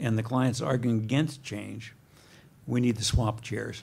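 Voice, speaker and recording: Soft-spoken and somewhat breathy, a man talks at a medium pitch and a fairly slow pace, with audible room echo. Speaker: professor, guest lecturer. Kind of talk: lecture.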